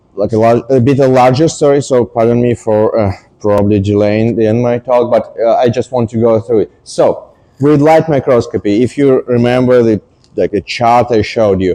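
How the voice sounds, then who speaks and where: The speaker has a non-native accent and talks at a moderate pace, with a dark, mellow tone and fairly even intonation. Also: man. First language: not English. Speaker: scientist giving a public talk. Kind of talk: popular science talk. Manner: hesitant, many fillers.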